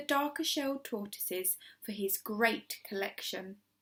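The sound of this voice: A woman speaks at a fairly high pitch in a bright, sharp tone. Her pace is fairly slow and her intonation lively.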